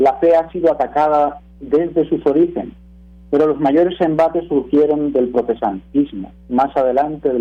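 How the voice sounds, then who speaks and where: A man with a fairly high pitch speaks with a Spanish accent. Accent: Spanish (peninsular). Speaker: radio commentator, teacher. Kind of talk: prepared radio talk.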